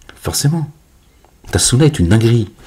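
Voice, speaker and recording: A man speaks at a fairly quick pace. Noticeable background noise runs under his voice. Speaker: religious commentator. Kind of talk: casual religious monologue video. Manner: loud; animated.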